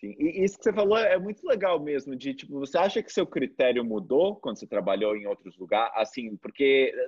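Against a quiet background, a man with a fairly high pitch talks at a fairly quick pace with hardly any pauses, very wide pitch swings and big swings in loudness. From Brazil. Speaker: video channel host, copywriter; video channel host. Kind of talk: casual interview. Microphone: video call.

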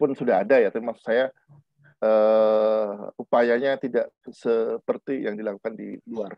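A man speaks at a fairly slow pace in a monotone, flat intonation, with a dry sound, no echo and a quiet background. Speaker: linguistics professor; lecturer. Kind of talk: lecture. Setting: video call. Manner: hesitant, many fillers; deliberately measured pace. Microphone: webcam.

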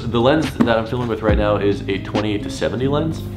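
Clear music sits in the background as a man speaks at a moderate pace. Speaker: vlogger. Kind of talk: casual vlog chat. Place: home room. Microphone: camera far.

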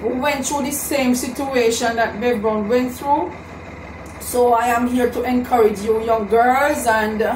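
A woman with a high voice talks at a very slow pace and with fairly even intonation, with audible room echo and light background noise. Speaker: vlogger giving encouragement. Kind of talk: casual vlog chat, motivational. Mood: earnest, encouraging. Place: home room.

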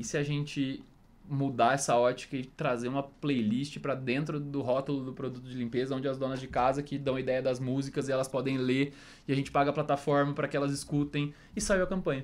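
The intonation is monotone and flat. Delivery moves at a fairly quick pace. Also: man, fairly high pitch for a man. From Ribeirão Preto, São Paulo interior, Brazil; São Paulo, Brazil. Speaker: marketing specialist; guest. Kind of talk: casual interview. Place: studio. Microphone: studio mic.

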